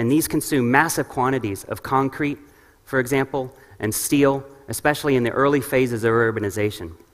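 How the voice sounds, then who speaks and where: Speaking at a fairly quick pace with an American accent, a man keeps a medium pitch and ordinary pitch variation. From New York, US. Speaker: urban ecology researcher. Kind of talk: conference lecture. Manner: fast.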